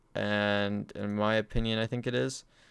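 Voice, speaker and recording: A man speaks at a fairly low pitch and a fairly slow pace, his intonation monotone and flat. The recording is very clean, with a silent background. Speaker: crypto YouTuber. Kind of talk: casual video commentary. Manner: many filler words.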